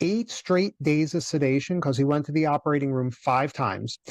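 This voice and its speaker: A man's fairly high-pitched, fairly quick delivery with an American accent, ordinary pitch variation, a normal speaking voice and a dry, close sound with no echo. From US. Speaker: cash flow coach, former dentist. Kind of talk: podcast interview, personal story.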